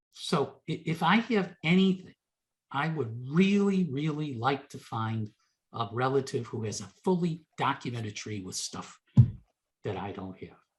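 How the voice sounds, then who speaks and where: Somewhat breathy and fairly high for a man, his voice moves at a fairly slow pace with very wide pitch swings and big swings in loudness. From United States. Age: 60s. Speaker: genealogy presenter. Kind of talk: Q&A after a presentation. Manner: stammering repetitions.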